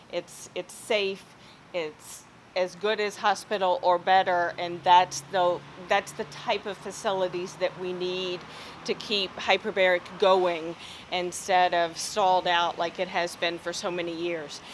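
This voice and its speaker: Rather slow female speech, pitched in the middle range. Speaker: surgeon and hyperbaric physician. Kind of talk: lecture.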